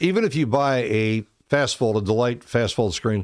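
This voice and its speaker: Over a very clean recording with a silent background, a man with an unremarkable speaking voice and a medium pitch talks at a moderate pace with lively intonation. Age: 60s. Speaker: presentation and sales coach. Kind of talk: casual chat with sales pitch.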